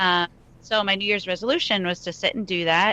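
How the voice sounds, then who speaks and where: A woman with a New York accent, fairly low in pitch, bright and sharp in tone, with fairly even intonation at a moderate pace, against a quiet background. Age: 30s. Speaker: country singer-songwriter. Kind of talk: interview.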